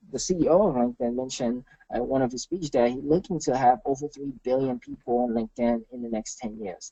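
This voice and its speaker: In a Haitian accent, a man speaks fairly quickly with hardly any pauses, his dark, mellow voice at medium pitch showing ordinary pitch variation in a dry, close sound with no echo. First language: Haitian Creole. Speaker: marketing consultant. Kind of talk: webinar presentation. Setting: webinar.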